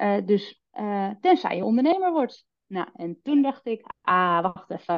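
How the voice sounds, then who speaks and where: The speaker talks at a very slow pace, with very wide swings in pitch. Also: woman, medium pitch for a woman. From West-Friesland, Noord-Holland. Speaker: sales trainer and entrepreneur. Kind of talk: podcast interview.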